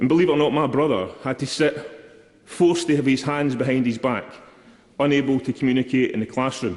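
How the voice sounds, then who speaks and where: In a Scottish accent, a man talks at a fairly quick pace. His pitch is medium, with ordinary variation. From Scotland, East Kilbride. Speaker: member of parliament. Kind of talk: parliamentary speech. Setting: parliament chamber. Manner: formal.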